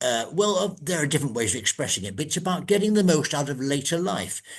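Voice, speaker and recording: A man with an English accent speaks at a fairly high pitch, his voice showing vocal fry. His pitch swings very widely. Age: old. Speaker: podcast host. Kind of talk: interview. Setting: recorded podcast. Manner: hesitant.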